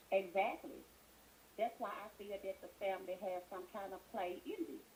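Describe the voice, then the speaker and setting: Soft-spoken and at medium pitch, a woman speaks at a moderate pace with ordinary pitch variation. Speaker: caller. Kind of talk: call-in show. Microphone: too quiet at first.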